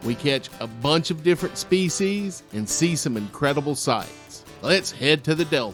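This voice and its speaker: A man's fairly high-pitched voice with lively intonation, at a moderate pace with hardly any pauses, over music in the background. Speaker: chef, radio host. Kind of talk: show host intro.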